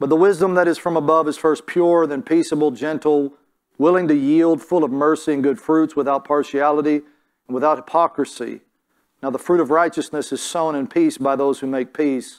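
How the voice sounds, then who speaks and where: A man's fairly quick speech with fairly even intonation against a quiet background. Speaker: preacher. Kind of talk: sermon. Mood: calm, earnest. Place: church.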